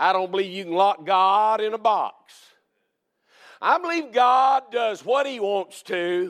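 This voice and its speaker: This man talks in a Southern US accent at a fairly slow pace. His pitch is high. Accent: Southern American. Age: 60s. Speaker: Baptist preacher. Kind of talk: sermon. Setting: church.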